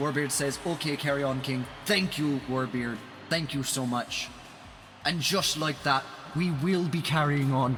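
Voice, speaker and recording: A man with an Irish accent speaks at a fairly high pitch with ordinary pitch variation. Music plays in the background. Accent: Irish accent put on more than usual today. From Ireland. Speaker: esports commentator. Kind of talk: live commentary. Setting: live stream. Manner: animated.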